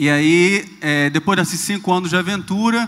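A man talks in a bright, sharp tone. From Rio de Janeiro, Brazil. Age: 30s. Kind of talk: talk on stage.

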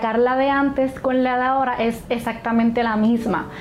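A woman with a fairly high pitch and monotone, flat intonation, at a fairly slow pace over noticeable background noise. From Puerto Rico (Hormigueros). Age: 20s. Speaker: patient with multiple sclerosis. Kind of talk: testimony.

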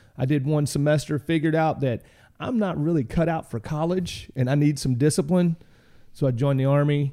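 The voice has a Southern US accent and a dark, mellow tone, moving at a fairly quick pace with ordinary pitch variation and very even loudness. The recording is very clean, with a silent background. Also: man, fairly high pitch for a man. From Arkansas, US South. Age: 40s. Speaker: military veteran. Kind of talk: casual interview.

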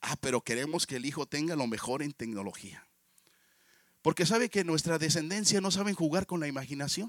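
A man with an unremarkable speaking voice, fairly high pitch and fairly quick pace, in a dry, close sound with no echo and a very clean recording with a silent background. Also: lively intonation. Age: 50s. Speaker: pastor. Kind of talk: sermon.

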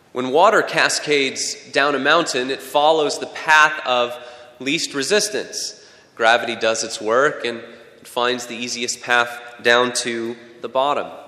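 The speaker talks at a fairly slow pace over noticeable background noise. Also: man, medium pitch for a man, ordinary pitch variation. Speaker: pastor. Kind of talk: sermon. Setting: church.

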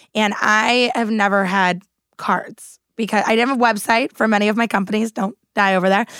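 A woman with an unremarkable speaking voice, fairly high in pitch, fairly even in intonation and fairly quick in pace, on a very clean recording with a silent background. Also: very even loudness. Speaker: podcast host. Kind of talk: casual chat. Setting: studio.

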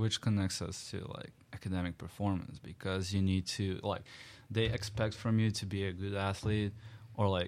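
Delivered at a moderate pace in a monotone, flat intonation, the voice sits on a very clean recording with a silent background. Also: man. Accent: Serbian. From Serbia. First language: Serbian. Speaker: international college student. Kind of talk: casual chat.

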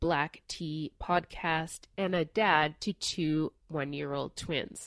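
The recording is very clean with a silent background and a dry, close sound with no echo, as a woman speaks at a fairly low pitch with fairly even intonation. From Newfoundland, Canada. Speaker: law professor and podcast host. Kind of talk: scripted narration. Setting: living room.

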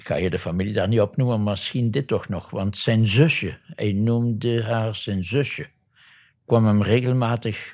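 A man in a Limburg accent, medium in pitch with ordinary pitch variation, at a fairly slow pace, on a very clean recording with a silent background. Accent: Limburg Flemish. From Belgian Limburg (Neerpelt). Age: 70s. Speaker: retired Jesuit priest and missionary. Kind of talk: interview testimony.

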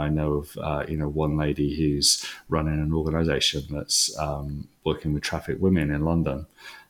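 At a moderate pace, a man speaks in a very deep, low voice with monotone, flat intonation. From Wales. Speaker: leadership organisation founder. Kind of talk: interview.

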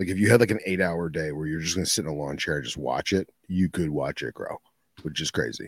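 A man's very deep, low voice at a very fast pace, with vocal fry, ordinary pitch variation, and a dry, close sound with no echo. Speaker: podcast co-host. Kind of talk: casual chat.

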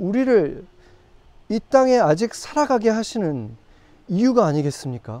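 A man's extremely high voice with very wide pitch swings, a dark, mellow tone and a fairly slow pace. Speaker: pastor. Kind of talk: sermon. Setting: outdoors.

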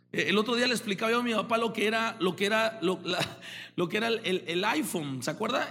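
A man speaks in a raised, projected voice, bright and sharp in tone. He sounds animated, with ordinary pitch variation. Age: 30s. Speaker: pastor. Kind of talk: sermon.

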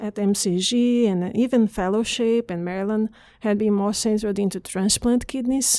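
A woman speaks with a Portuguese accent. Her voice sits at a fairly high pitch. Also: very clean recording, silent background. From northeast Brazil. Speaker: pathologist, fellowship director. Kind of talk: interview.

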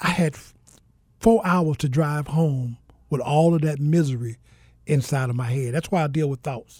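In a Southern US accent, a somewhat breathy voice moves at a moderate pace with ordinary pitch variation and long, frequent pauses. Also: man, fairly high pitch for a man. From US South (Mississippi). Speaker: pastor and author. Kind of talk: interview testimony.

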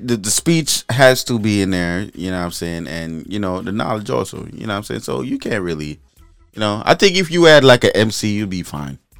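An upbeat man at a fairly low pitch speaks at a moderate pace, with very wide pitch swings and big swings in loudness. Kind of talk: radio DJ patter with Caribbean-style party promo. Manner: animated, hyped, rhythmic and repetitive, hawking an event in patois-tinged slang; punchy catchphrase tags, confiding and upbeat.

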